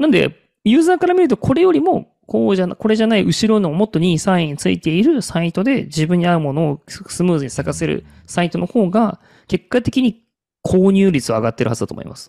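Dark and mellow in tone yet high in pitch, a man speaks fairly quickly with very wide pitch swings in a dry, close sound with no echo. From Kagoshima, Japan. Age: 30s. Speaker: marketing consultant. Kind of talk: casual chat.

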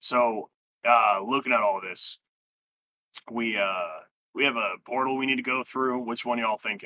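Put-on character voice, raspy, at a moderate tempo. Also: man, medium pitch for a man.

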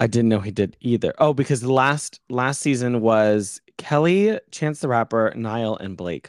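A man with an ordinary speaking voice and medium pitch speaks at a fairly slow pace with ordinary pitch variation and hardly any pauses. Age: 20s. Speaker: podcast co-host. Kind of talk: casual chat. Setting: video recording with camera.

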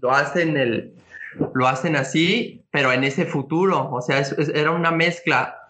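At a fairly slow pace, a man with a Mexican accent talks with ordinary pitch variation. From Mexico. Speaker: comics fan commentator. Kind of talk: casual chat.

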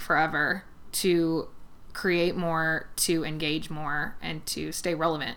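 A woman with an American accent speaks in a monotone, flat intonation, with audible room echo. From US West Coast, San Fernando Valley (Los Angeles). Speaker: hair stylist. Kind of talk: casual chat.

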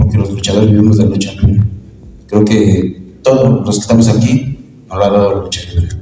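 Noticeable background noise and audible room echo surround a man's voice. His pitch is fairly low, with fairly even intonation. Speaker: professional wrestler and event presenter. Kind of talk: press conference.

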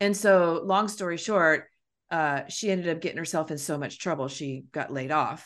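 Over a quiet background, a woman uses a normal speaking voice, fairly low in pitch, with lively intonation. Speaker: podcast host. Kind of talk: casual chat.

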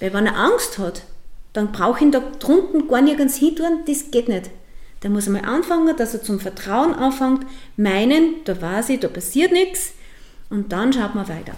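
A woman with a high pitch makes very wide pitch swings. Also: moderate pace. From Upper Austria, Mühlviertel. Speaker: dog boarding kennel owner. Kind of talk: interview. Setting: at her dog kennel, dogs around.

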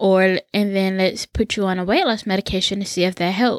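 A woman speaks in a normal speaking voice at medium pitch and a moderate pace. The very clean recording has a silent background and a dry, close sound with no echo. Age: 20s. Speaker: podcast host. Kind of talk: personal storytelling monologue.

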